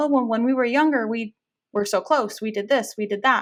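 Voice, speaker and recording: A woman is speaking. Her pace is fairly quick. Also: quiet background. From Fresno, California. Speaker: marriage and family therapist. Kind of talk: podcast interview.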